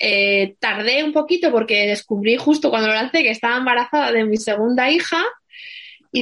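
A woman talks at a fairly quick pace with a high pitch and ordinary pitch variation. The background is quiet. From Asturias, Spain. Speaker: wedding planner. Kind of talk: interview.

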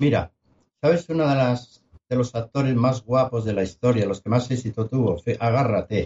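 A man speaks in a medium-pitched, somewhat breathy voice. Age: 70s. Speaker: longevity medicine specialist, podcast co-host. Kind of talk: casual chat.

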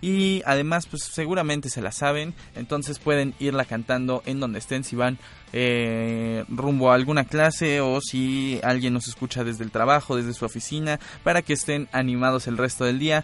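A man talks at a medium pitch, varying it in an ordinary way, while music plays in the background. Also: moderate pace. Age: 20s. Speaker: university radio host. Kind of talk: casual radio chat. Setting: radio studio. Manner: animated.

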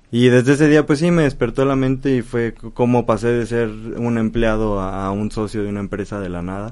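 With ordinary pitch variation, a man's voice stays at a medium pitch. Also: moderate pace, hardly any pauses. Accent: Mexican. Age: 20s. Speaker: business partner. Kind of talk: interview.

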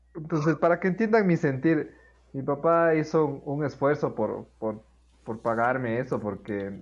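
A normal speaking voice moves at a fairly slow pace with lively intonation. The background is quiet. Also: man. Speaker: podcast host. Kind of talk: casual chat.

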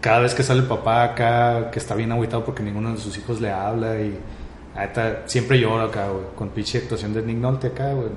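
With a Mexican accent, a man talks at a fairly quick pace in a medium pitch and monotone, flat intonation, amid noticeable background noise and audible room echo. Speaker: podcast co-host. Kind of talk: casual chat.

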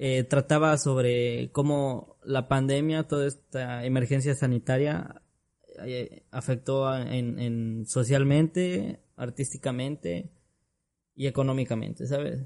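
At a very slow pace, a man of medium pitch speaks with a dark, mellow tone and fairly even intonation. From Tlaxcala, Mexico. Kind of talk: casual chat.

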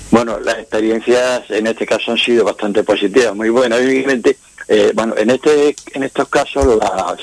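Noticeable background noise sits beneath a man speaking at a fairly slow pace in a dry, close recording with no echo. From Andalusia, Spain (Quesada, Jaén province). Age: 70s. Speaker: painter. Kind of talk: radio interview.

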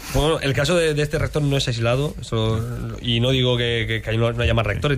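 A man talks at a fairly quick pace. Noticeable background noise runs under his voice. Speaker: mathematician, radio section contributor. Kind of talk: casual radio chat.

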